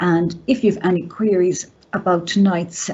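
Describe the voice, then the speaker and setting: Somewhat breathy and at a moderate pace, the speaker talks with an Irish accent. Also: woman. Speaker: college staff presenter. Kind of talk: presentation. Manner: gasping for breath.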